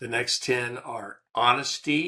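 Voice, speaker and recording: A man's voice, bright and sharp in tone. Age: 70s. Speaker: podcast host. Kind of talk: casual solo podcast talk.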